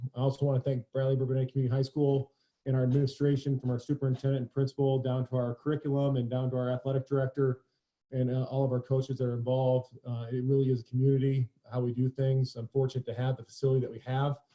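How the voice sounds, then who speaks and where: Somewhat breathy and very fast, the man talks at a medium pitch with monotone, flat intonation. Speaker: high school strength coach. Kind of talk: webinar presentation.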